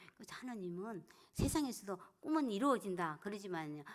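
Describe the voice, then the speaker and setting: A woman speaks at medium pitch and a moderate pace, her voice making very wide pitch swings. The recording is very clean, with a silent background. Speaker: church deaconess and evangelism speaker. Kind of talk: evangelism seminar talk.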